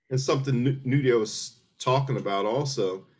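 A man with a medium-pitched, somewhat breathy voice speaks at a moderate pace with fairly even intonation against a quiet background. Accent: American. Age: 60s. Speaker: military veteran. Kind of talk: casual chat.

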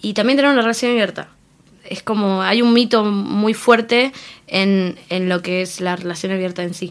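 A woman speaks at a medium pitch with a Rioplatense accent. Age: young. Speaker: interviewee, free love activist. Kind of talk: interview.

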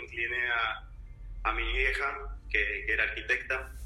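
Noticeable background noise and audible room echo fill the recording. A man speaks at a moderate pace. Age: 30s. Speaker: advertising professional. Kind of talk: interview.

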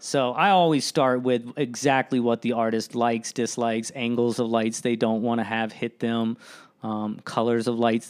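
On a very clean recording with a silent background, a man speaks at a moderate pace in a medium pitch with monotone, flat intonation. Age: 30s. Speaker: lighting designer. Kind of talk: casual chat. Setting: studio.

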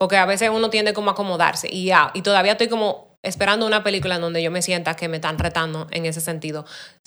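A woman speaks at a very fast pace with hardly any pauses. Her pitch is medium. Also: fairly even intonation. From Dominican Republic. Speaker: production designer. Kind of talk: casual interview.

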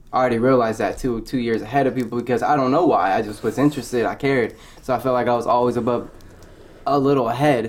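There is noticeable background noise behind the speaker. A man with a medium pitch talks at a very fast pace. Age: 20s. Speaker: food truck business owner. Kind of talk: casual chat.

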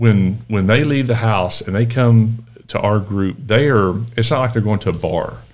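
The speaker has a Texan accent. The pace is moderate, with ordinary pitch variation. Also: man, medium pitch for a man. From Texas, Dallas area. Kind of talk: casual interview. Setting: podcast interview.

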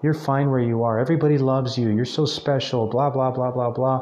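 A man speaks at a medium pitch and a fairly quick pace, with fairly even intonation. Audible room echo surrounds his voice. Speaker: podcast host. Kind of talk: solo motivational monologue. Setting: speaking into a mic alone. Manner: halting, many repetitions; extemporaneous, off the cuff.

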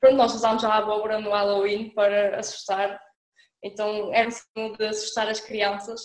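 Talking at a fairly quick pace with a Minho accent, a woman holds a fairly high pitch in a flat, monotone delivery. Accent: noticeable Minho. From northern Portugal, Alto Minho (Monção). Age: young. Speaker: student. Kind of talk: casual chat. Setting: remote call.

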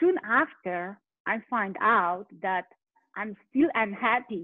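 A woman's medium-pitched voice with a Polish accent. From Poland. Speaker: life coach. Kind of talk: interview. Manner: animated.

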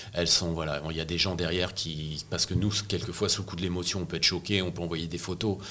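At a very fast pace and with hardly any pauses, the voice has a bright, sharp tone and a monotone, flat intonation. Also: man, very deep, low pitch for a man. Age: 60s. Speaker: press photographer. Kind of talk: interview. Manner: halting, with frequent repetitions.

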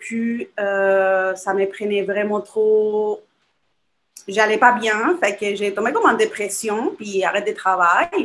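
Speaking with a Spanish accent, a woman talks at a very slow pace. Her pitch is fairly high, with ordinary pitch variation. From Chile. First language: Spanish (speaking French). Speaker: small business owner. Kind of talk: casual interview.

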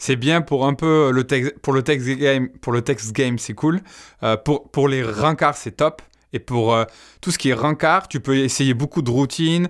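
In a very clean recording with a silent background, a man with a plain, everyday voice talks at a fairly slow pace with ordinary pitch variation. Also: medium pitch for a man. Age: 30s. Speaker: YouTuber, dating coach. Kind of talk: casual chat.

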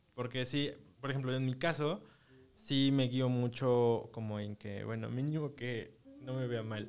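With a Mexican accent, a man talks at a fairly slow pace with ordinary pitch variation. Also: medium pitch for a man. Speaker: podcast host. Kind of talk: casual chat.

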